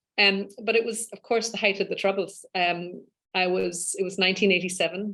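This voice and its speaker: With an Irish accent, a woman speaks at a moderate pace. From west of Ireland (Spiddal, Connemara). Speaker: law professor and UN human rights expert. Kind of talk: interview.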